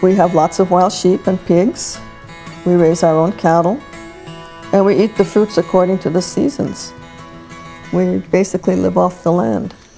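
A woman's fairly low voice with ordinary pitch variation, very even loudness and long, frequent pauses, over faint music in the background. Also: moderate pace. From Hawaii. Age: 80s+. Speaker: rancher. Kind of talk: documentary interview answer. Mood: proud, reflective. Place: home room.

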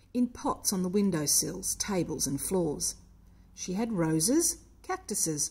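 Intonation stays lively throughout a natural reading voice.

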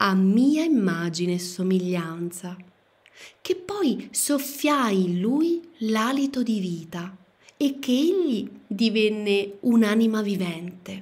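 This woman talks at a very slow pace, her voice somewhat breathy and medium in pitch. Her tone is solemn and intense, yet her intonation stays lively. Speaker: audiobook narrator. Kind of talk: audiobook reading, dramatic narration. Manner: solemn, slow, declamatory, intense.

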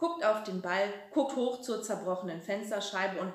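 A natural voice reading aloud.

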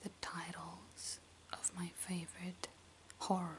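Whispering and soft-spoken, a woman talks at a very slow pace with light background noise behind her. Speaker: video creator. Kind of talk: soft-spoken listing of favorite films, casual. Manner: soft intimate ASMR whisper. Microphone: phone near.

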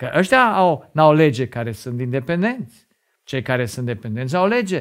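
A man's voice with lively intonation at a moderate pace, over a quiet background. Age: 50s. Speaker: lay preacher and doctor; religious teacher. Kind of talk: sermon. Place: studio. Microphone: lapel.

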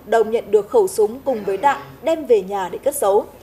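A woman speaks with lively intonation. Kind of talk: news reading. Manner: formal.

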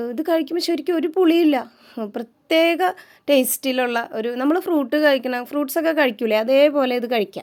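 High-pitched female speech on a very clean recording against a silent background. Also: ordinary pitch variation. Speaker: vlogger. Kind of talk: casual vlog talk to camera. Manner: chatty.

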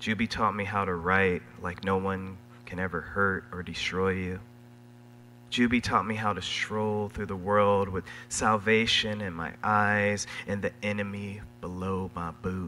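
A man talks fairly slowly at a fairly low pitch, his tone bright and sharp with ordinary pitch variation. Light background noise is present. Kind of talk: introduction speech with poetic reading. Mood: warm, playful, admiring. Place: stage. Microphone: podium.

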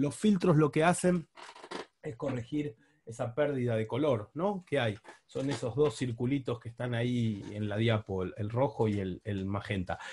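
There is some breathiness in this voice. Its delivery is on the slow side. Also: man, medium pitch for a man, lively intonation. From Buenos Aires, Argentina. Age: 40s. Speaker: diving instructor and underwater photographer. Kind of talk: online talk with slides.

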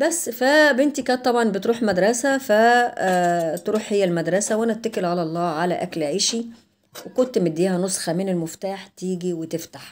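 Speaking at a moderate pace with hardly any pauses, a woman talks with an Egyptian accent. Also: lively intonation. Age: 60s. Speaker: vlogger; home vlogger. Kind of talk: life story; casual vlog storytelling. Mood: aggrieved recollection. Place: kitchen. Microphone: camera far.

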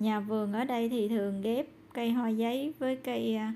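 A woman speaks in a Southern Vietnamese accent, her pitch fairly high. The tone is dark and mellow, with light background noise behind her. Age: old. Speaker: vlogger; garden vlogger. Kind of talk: casual vlog narration. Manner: animated. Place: garden. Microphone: phone near.

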